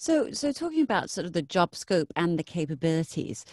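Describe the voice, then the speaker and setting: A normal speaking voice with lively intonation moves at a moderate pace. The background is quiet, and the sound is dry with no echo. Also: woman. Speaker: radio host. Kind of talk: casual interview. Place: studio.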